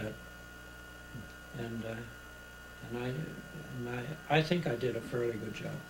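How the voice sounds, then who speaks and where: Noticeable background noise is present throughout. A man speaks fairly slowly over it. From Pennsylvania, USA. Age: 80s+. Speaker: retired chemical engineer and inventor; interviewee. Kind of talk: interview answer. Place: home room. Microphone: old recording.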